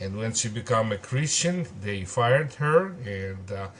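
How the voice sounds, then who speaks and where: Somewhat breathy and medium in pitch, a man speaks at a fairly slow pace. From Soviet Union. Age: 60s. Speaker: pastor. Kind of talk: testimony. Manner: halting.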